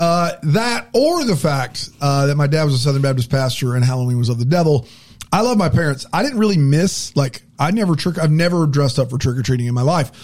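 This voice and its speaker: Somewhat breathy and fairly high-pitched, a man talks at a fairly quick clip with lively intonation and very even loudness. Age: 40s. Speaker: podcast co-host. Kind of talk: casual chat.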